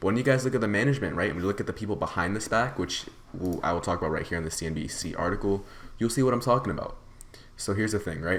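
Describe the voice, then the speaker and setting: Very fast and animated, a man with a fairly low pitch talks with lively intonation. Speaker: stock market YouTuber. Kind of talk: unscripted stock commentary video. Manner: halting, stuttering.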